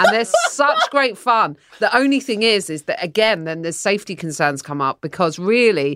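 A woman talks at a fairly quick pace with an English accent. The recording is very clean, with a silent background. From England. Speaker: comedian. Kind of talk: casual chat.

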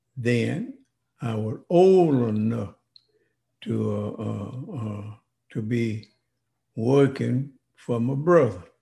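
The voice is somewhat breathy with a dark, mellow tone and moves at a very slow pace. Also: man. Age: 90s. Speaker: civil rights veteran. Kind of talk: interview, life story. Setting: in-person in host's home.

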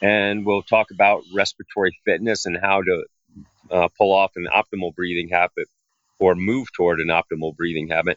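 A man has an ordinary speaking voice, fairly low in pitch, and he talks at a fairly quick pace with fairly even intonation. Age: 50s. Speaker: breathing coach. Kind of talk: workshop presentation. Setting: video call.

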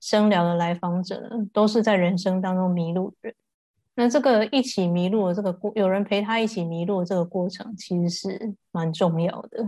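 Fairly even intonation marks this woman's dark, mellow tone. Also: medium pitch for a woman, moderate pace. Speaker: voice healer. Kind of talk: casual chat. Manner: calm, gentle.

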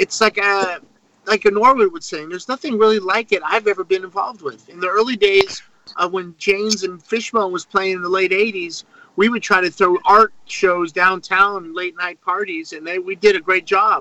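A man projects a raised voice at a high pitch, with big swings in loudness and fairly even intonation, in a dry, close sound with no echo. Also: moderate pace. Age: 50s. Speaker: rock drummer. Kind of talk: casual chat.

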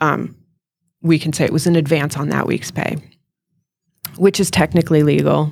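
A woman's very deep, low voice with vocal fry, monotone and flat, at a moderate pace with long, frequent pauses. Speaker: auto repair shop owner. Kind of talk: casual interview chat. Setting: live event with mic.

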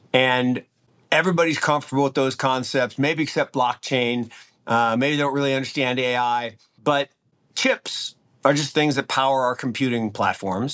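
In a plain, everyday voice, a man with an American accent talks at a moderate pace and medium pitch with fairly even intonation, the sound dry and close with no echo against a quiet background. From US Pacific Northwest, Seattle. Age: 60s. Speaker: investment firm founder. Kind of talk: interview.

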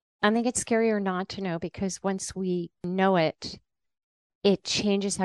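At a moderate pace, a woman with an ordinary speaking voice and fairly even intonation speaks against a quiet background, the sound dry and close with no echo. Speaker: science journalist and author. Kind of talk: podcast interview.

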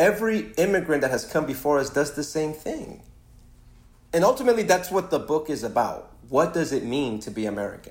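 A man speaks at a fairly high pitch and a moderate pace, his voice making very wide pitch swings. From Ecuador, raised in Los Angeles from age 7. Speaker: screenwriter and author. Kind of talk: interview conversation.

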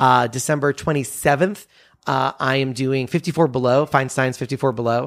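In a very clean recording with a silent background, a man talks at a moderate pace with fairly even intonation. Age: 30s. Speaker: comedian and magician. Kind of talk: casual interview chat. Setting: home studio.

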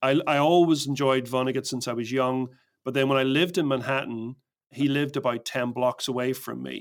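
A man with an Irish accent, medium pitch, fairly even intonation and a fairly quick pace. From Northern Ireland, Belfast. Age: 50s. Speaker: storytelling consultant. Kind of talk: casual interview.

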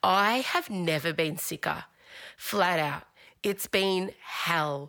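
A woman with a bright, sharp tone speaks at a very slow pace, her pitch varying in an ordinary way and her loudness very even, on a very clean recording with a silent background. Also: fairly low pitch for a woman. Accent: Australian. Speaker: podcast co-host. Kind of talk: casual chat. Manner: speaking in a higher register than normal.

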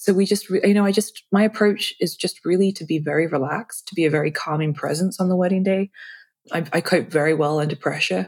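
Her pitch is medium and she has an English accent. The woman talks at a fairly quick pace. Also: ordinary pitch variation. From England (London). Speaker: wedding videographer. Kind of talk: casual interview. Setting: video call.

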